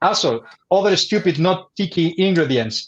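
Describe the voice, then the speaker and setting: A man speaks at a moderate pace with a Spanish accent. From Spain. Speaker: bartender. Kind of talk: educational livestream presentation. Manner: halting.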